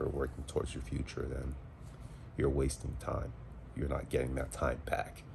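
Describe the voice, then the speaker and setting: Over noticeable background noise and audible room echo, a man speaks in a monotone, flat intonation at a very deep, low pitch. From US South, Charlotte, North Carolina (from age seven). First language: French. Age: 30s. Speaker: field service engineer and Navy veteran vlogger. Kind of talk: casual personal vlog. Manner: casual, hesitant with fillers.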